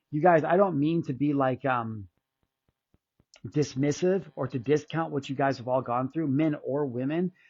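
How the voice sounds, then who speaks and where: Moderate pace and ordinary pitch variation from a man with a fairly high voice. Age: 40s. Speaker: content creator on narcissistic abuse. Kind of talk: personal vlog monologue. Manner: casual, halting.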